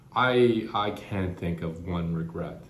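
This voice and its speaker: Somewhat breathy male voice, very deep and low in pitch, with audible room echo. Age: 50s. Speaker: cancer patient vlogger. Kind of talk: personal reflection vlog. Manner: halting, with frequent repetitions and fillers.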